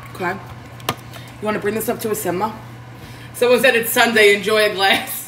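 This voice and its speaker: A woman with an American accent talks at a fairly quick pace, with long, frequent pauses. Her pitch is fairly high and her intonation fairly even, with faint music in the background. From Queens, New York; New York. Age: 30s. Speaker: home cook livestreamer. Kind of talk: casual cooking livestream.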